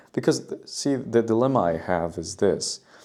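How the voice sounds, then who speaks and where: A man's dark, mellow voice with lively intonation and a non-native accent, on a very clean recording with a silent background. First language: not English. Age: 20s. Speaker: vlogger and barista. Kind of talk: casual monologue vlog. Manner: halting, many fillers and repeats.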